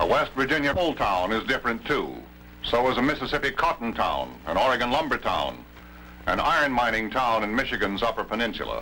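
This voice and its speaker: Over music in the background, a man with an American accent speaks at a very even loudness. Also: fairly quick pace. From United States. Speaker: television news anchor narrating a documentary. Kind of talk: documentary film narration. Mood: calm, authoritative.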